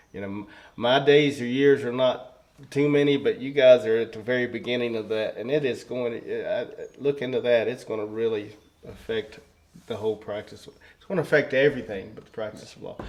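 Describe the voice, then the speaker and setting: Over noticeable background noise, a man of medium pitch with a Southern Appalachian accent talks at a fairly quick pace, with fairly even intonation and big swings in loudness. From rural southwest Virginia. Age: 60s. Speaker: circuit court judge. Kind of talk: interview conversation. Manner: halting, many fillers.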